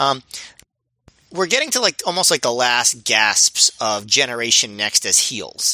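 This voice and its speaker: An unremarkable speaking voice from a man, medium in pitch and fairly slow, with lively intonation and a dry, close sound with no echo. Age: 30s. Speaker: wrestling podcast co-host. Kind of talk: casual chat.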